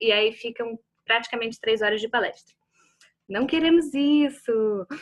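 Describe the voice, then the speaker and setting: Speaking at a fairly slow pace, a woman has a fairly high pitch with ordinary pitch variation. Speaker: workshop facilitator on grief and art. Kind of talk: online talk introduction. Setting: video call.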